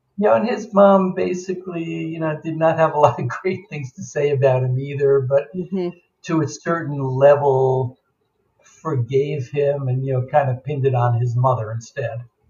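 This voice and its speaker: A man with an American accent speaks at a moderate pace in a dark, mellow, somewhat breathy tone, fairly high in pitch with ordinary pitch variation. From New York suburbs, US. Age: 70s. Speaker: memoir author, adoptee. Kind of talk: interview storytelling. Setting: remote call.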